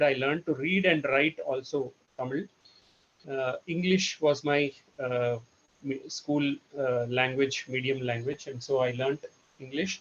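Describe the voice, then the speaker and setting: A man with a Telugu accent at a moderate pace, with ordinary pitch variation. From India, Karnataka (Bangalore). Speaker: trainer. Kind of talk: presentation. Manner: halting, many fillers.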